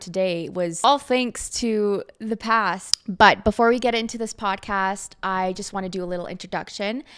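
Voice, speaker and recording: A woman talks at a moderate pace with ordinary pitch variation in an ordinary speaking voice. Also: very clean recording, silent background. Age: 20s. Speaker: podcast host. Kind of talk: casual monologue.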